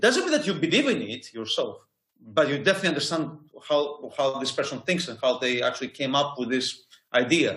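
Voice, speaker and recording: Ordinary pitch variation marks this fairly quick delivery in a Greek accent. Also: man, fairly high pitch for a man. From Greece. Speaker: university lecturer. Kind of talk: interview. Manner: halting.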